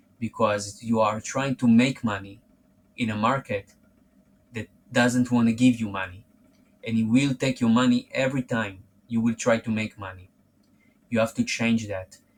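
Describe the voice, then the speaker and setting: Speaking with a non-native accent, a man of medium pitch keeps a moderate pace in a monotone, flat intonation with long, frequent pauses. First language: not English. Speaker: forex trading youtuber. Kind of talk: direct-to-camera monologue. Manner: halting, self-repeating.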